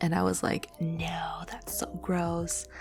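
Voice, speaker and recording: Music plays in the background as a woman speaks softly. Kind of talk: ASMR Q&A talk to listeners. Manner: soft-spoken; casual, rambling, many filler words.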